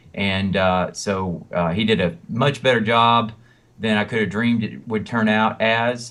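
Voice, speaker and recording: A man's fairly low voice with a Southern US accent, fairly slow, with fairly even intonation. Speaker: country singer and songwriter. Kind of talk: interview. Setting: phone call. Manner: halting, many fillers.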